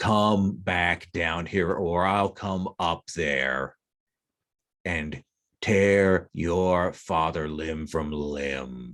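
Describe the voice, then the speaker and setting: In a put-on character voice, the speaker booms out a menacing tone at a very slow pace with ordinary pitch variation. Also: man, very deep, low pitch for a man. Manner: booming, menacing.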